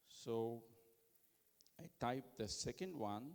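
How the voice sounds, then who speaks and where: In an Indian accent, a man speaks at a medium pitch. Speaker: conference speaker giving tech demo. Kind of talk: live product demo presentation.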